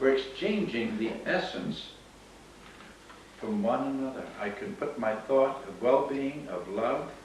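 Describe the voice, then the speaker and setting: Amid noticeable background noise and audible room echo, the speaker talks at a fairly slow pace with lively intonation. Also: man, medium pitch for a man. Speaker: workshop teacher on crystal healing. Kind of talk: workshop Q&A.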